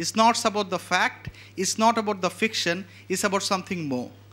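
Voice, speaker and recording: In a Bengali accent, a man projects a raised, high-pitched voice with a bright, sharp tone. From Bangladesh. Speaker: event host introducing a photographer. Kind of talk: speaker introduction.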